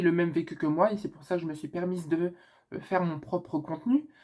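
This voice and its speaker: A dark, mellow tone with ordinary pitch variation comes through on a very clean recording with a silent background. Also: woman. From northern France. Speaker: YouTuber. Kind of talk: casual Q&A vlog. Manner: casual with many hesitations.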